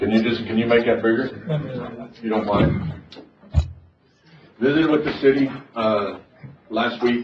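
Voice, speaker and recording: Against noticeable background noise and audible room echo, a man with an American accent speaks at a moderate pace and medium pitch, with ordinary pitch variation and long, frequent pauses. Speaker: county judge chairing meeting. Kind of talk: public meeting discussion. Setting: courtroom meeting.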